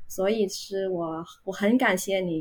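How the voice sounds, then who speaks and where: A woman speaks at a very slow pace with a Vietnamese accent, her medium pitch varying in an ordinary way. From Vietnam, Ho Chi Minh City. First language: Vietnamese (speaking Chinese). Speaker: university Chinese teacher. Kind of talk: casual interview chat. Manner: hesitant, many filler sounds.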